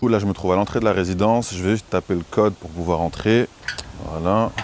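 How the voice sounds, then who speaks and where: Over noticeable background noise, a man with a fairly low pitch talks at a fairly quick pace and fairly even intonation. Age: 20s. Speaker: short-term rental manager. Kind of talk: vlog tour and business pitch. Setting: walking indoors, apartment residence. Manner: casual.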